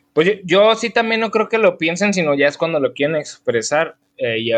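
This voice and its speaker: Over a quiet background, a man speaks with a Mexican accent. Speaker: podcast co-host. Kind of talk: casual chat.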